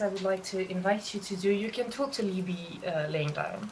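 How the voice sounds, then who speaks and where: Noticeable background noise sits behind a woman speaking. Her pitch is medium and her pace moderate. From Belgium. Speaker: professional cuddler, former actress and singer. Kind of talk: guided relaxation. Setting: video call.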